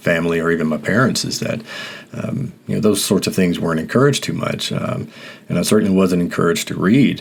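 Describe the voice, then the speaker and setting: Noticeable background noise runs under a man with a very deep, low voice and an American accent. He talks at a very fast pace with ordinary pitch variation. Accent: Mississippi accent, comes out occasionally. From US South, rural Mississippi. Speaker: podcast host. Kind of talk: personal reflective monologue. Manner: halting, many fillers and repetitions.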